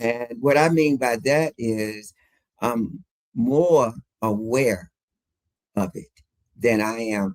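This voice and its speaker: The man's voice sits at medium pitch with ordinary pitch variation. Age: 70s. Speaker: fitness enthusiast and interview guest. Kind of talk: casual interview chat. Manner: halting, many fillers.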